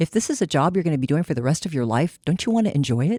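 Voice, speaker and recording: A woman speaks with a very deep, low pitch, a dark, mellow tone and very wide pitch swings. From California, Seaside. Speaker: psychologist. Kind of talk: panel discussion.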